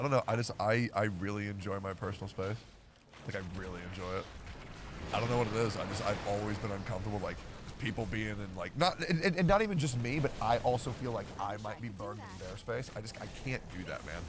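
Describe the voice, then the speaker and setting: A man talks very fast in a fairly low voice with ordinary pitch variation, and noticeable background noise can be heard. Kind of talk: casual chat. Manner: loud.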